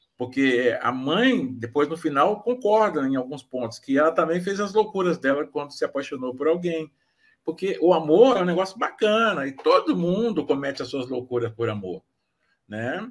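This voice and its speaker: Swinging very widely in pitch, a man with a fairly high voice speaks at a moderate pace in a very clean recording with a silent background. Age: 60s. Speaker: author. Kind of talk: casual chat. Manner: halting.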